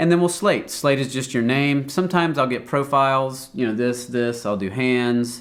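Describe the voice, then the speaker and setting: Amid audible room echo, a man at medium pitch talks with hardly any pauses. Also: ordinary pitch variation. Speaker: commercial session director. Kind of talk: interview. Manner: fast; energetic.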